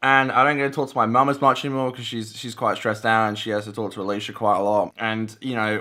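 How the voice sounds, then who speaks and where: On a very clean recording with a silent background, a man speaks. He goes very fast, with ordinary pitch variation. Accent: Australian. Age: 20s. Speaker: vlogger. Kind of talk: casual vlog talk to camera. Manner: halting, many repeated words.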